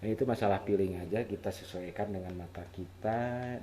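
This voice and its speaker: A man with a West Javanese accent, at a moderate pace. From West Java, Sundanese (Garut). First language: Sundanese (speaking Indonesian). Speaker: photographer, camera tutorial youtuber. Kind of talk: tutorial. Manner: halting, self-correcting; casual, informal.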